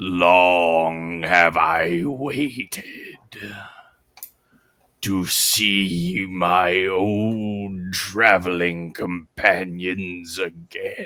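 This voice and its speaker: A man's put-on character voice, very deep and low in pitch, with fairly even intonation and a very slow pace. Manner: creepy.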